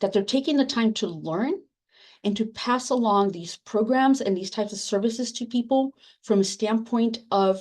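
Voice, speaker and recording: In a Spanish accent, the speaker goes at a moderate pace with ordinary pitch variation against a quiet background. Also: woman. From Latin America, immigrant to US. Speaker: academic librarian, book editor. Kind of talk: panel discussion. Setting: webinar. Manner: halting.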